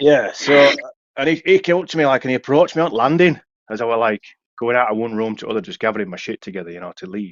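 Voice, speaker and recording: At a very fast pace, a man speaks in a medium pitch. His voice makes very wide pitch swings and big swings in loudness. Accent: Yorkshire. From Yorkshire, England. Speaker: former TV aerial engineer. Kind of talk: casual podcast chat.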